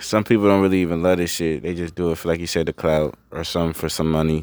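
Speaking at a fairly quick pace with an American accent, a man's very deep, low voice holds a fairly even intonation. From Connecticut, Bridgeport. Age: 20s. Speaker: rapper. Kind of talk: casual interview chat.

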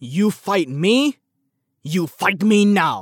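A man does a put-on character voice, pitched high with very wide pitch swings. The sound is dry and close, with no echo. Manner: tough, threatening.

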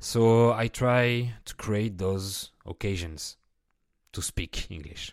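A man with a slight French accent speaks at a very slow pace and a medium pitch, with ordinary pitch variation. His loudness swings widely on a very clean recording with a silent background. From France. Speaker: French teacher and podcaster. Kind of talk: casual interview.

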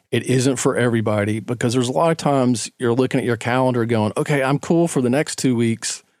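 Speaking at a very fast pace, a man keeps a medium pitch with hardly any pauses. His loudness is very even and his pitch varies in an ordinary way. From Tennessee (Knoxville). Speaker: professional bass player. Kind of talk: casual interview.

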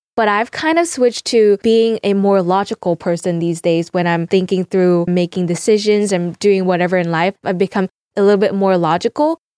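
A woman's voice has a dark, mellow tone at medium pitch with ordinary pitch variation. She moves at a fairly quick pace in a dry, close sound with no echo. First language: Vietnamese. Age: 20s. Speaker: podcast co-host, university student. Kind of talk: casual chat. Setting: studio.

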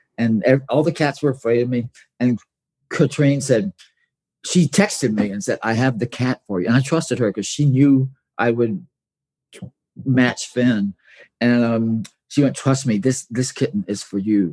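In a dark, mellow tone, the voice moves at a moderate pace with lively intonation and long, frequent pauses, the sound dry and close with no echo. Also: man, medium pitch for a man. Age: 60s. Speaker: author and magazine editor. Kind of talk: casual interview chat. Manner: halting, repetitive starts.

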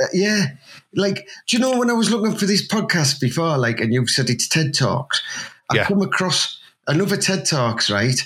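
Speaking in a Teesside accent, a man holds his loudness very even. His high voice swings very widely in pitch. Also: moderate pace. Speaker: football fan, host's brother-in-law. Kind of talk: casual chat. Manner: animated.

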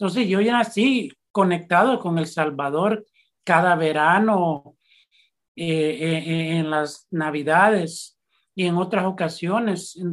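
Speech comes at a very slow pace. The background is quiet. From San Francisco, California, Salvadoran parents. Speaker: author and journalist. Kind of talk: interview. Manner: halting.

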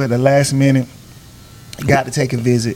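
With a Southern US accent, a man speaks in a fairly high voice at a moderate pace over noticeable background noise. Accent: Southern US (Georgia). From Griffin, Georgia (US South). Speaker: former NFL player and barber. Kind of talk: interview conversation. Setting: barbershop.

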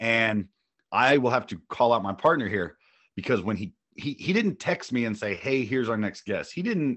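A man with an American accent speaks at a moderate pace with lively intonation. His is a normal speaking voice. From US Midwest, Ohio (Lima). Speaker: podcast co-host, musician. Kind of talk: casual interview.

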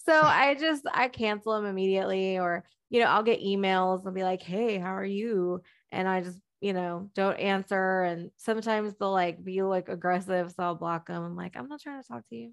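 An ordinary speaking voice from a woman at medium pitch, moderate pace, lively intonation and big swings in loudness, over a quiet background. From Texas. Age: 30s. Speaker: dating coach. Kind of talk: casual interview chat.

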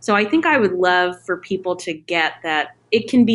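A woman keeps a moderate pace, and the background stays quiet. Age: 30s. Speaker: patient advocate. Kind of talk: interview.

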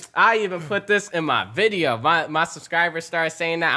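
Bright and sharp in tone, a man with an American accent talks at a fairly quick pace and a fairly high pitch. The recording is very clean, with a silent background. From Metro Detroit, Michigan. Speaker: car YouTuber.

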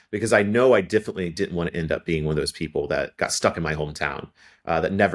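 On a very clean recording with a silent background, a man speaks at a very fast pace. His voice is very deep and low, with an American accent. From US Midwest, Ohio. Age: 20s. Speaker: YouTuber and photographer. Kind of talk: casual interview. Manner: rambling.

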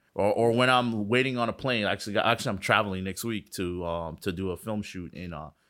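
In a very clean recording with a silent background, a man with an American accent and a fairly low pitch talks at a fairly quick pace, his tone bright and sharp with ordinary pitch variation. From Miami, Florida. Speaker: filmmaker and actor. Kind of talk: casual interview.

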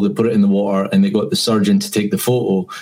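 A man with a Scottish accent talks at a medium pitch. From Scotland. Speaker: podcast host guest. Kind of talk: casual chat. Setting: video call.

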